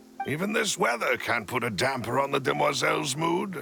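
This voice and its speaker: A man puts on a raspy character voice at a medium pitch. He talks at a fairly quick pace over clear background music. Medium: machinima. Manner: formal, courteous.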